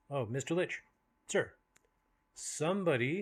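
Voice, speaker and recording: At a moderate pace, a man puts on a character voice pitched fairly high. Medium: solo performance. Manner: glib, ingratiating.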